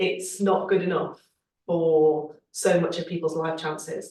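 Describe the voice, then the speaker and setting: The speech moves at a moderate pace with a slight Scouse accent. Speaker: Labour Party politician. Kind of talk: panel discussion.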